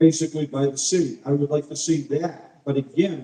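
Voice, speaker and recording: A man's dark, mellow tone in monotone, flat intonation at a moderate pace. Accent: American. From Lynn, Massachusetts. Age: 70s. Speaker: mayoral candidate. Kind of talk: candidate forum answer. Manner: halting.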